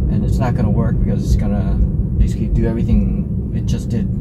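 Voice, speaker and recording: A man keeps a moderate pace with music in the background. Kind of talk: driving commentary. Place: car.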